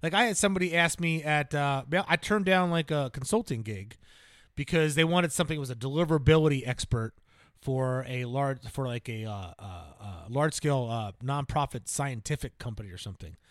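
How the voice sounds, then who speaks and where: A man talks in an unremarkable speaking voice, fairly high in pitch, at a fairly quick pace. His intonation is lively, and the recording is very clean with a silent background. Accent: American. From New Jersey. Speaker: self-improvement podcast co-host. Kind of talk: casual chat. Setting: studio.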